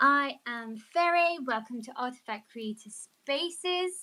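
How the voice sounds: A woman speaks slowly and high, with lively intonation. Her tone is bright and sharp.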